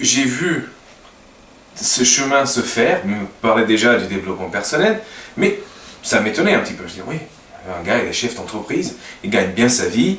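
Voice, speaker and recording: Over noticeable background noise and audible room echo, a man speaks with very wide pitch swings and long, frequent pauses. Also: medium pitch for a man, moderate pace. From Portugal. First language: Portuguese (speaking French). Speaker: language teacher and web designer. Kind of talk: casual talk to camera. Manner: halting, many hesitations.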